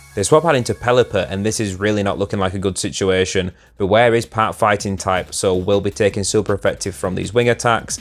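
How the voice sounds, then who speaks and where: With music in the background, a man with a fairly low pitch and ordinary pitch variation talks at a very fast pace, hardly pausing. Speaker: gaming commentator. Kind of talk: gameplay commentary. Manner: stuttering.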